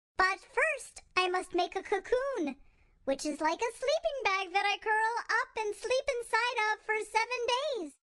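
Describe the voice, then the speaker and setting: A squeaky put-on character voice speaks at a moderate pace. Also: woman, extremely high pitch for a woman. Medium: read story. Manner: excitable, goofy.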